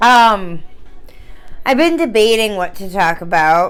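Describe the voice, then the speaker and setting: Over background music, a woman talks with a Northern US accent. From Northern United States. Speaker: tarot reader. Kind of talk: casual tarot reading talk to camera.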